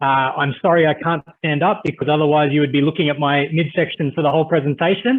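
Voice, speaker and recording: An Australian-accented man speaking very fast with hardly any pauses, fairly high pitch, fairly even intonation and very even loudness. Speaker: cybersecurity risk management business leader. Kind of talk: webinar presentation. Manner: hesitant, many filler words.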